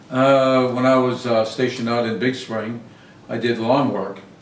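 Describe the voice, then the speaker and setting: A man speaks at a moderate pace. There is noticeable background noise and audible room echo. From southern Maine. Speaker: lawn service business owner, Air Force veteran. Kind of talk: interview. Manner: halting, many fillers.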